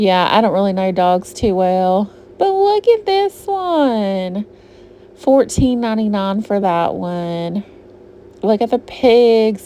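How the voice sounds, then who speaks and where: A woman talks at a medium pitch in a Southern US accent. Noticeable background noise is present. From US South, Georgia. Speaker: shopping vlogger. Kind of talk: casual shop-with-me vlog narration. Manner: chatty, casual.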